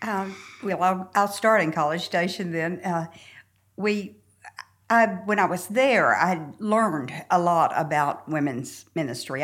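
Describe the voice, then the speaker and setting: A woman's fairly low-pitched voice in a Southern US accent. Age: 70s. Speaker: church member sharing her story. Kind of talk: casual interview chat.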